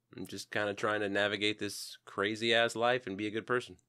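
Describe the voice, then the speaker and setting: Over a very clean recording with a silent background, a man speaks. He has an American accent and a moderate pace. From Texas, Houston. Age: 30s. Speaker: podcast co-host, salesman. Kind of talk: casual chat.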